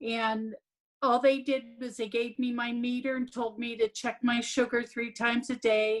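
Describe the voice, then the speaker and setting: Here a woman talks at a moderate pace with a high pitch. Her intonation is monotone and flat. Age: 60s. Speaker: program participant. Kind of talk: testimony.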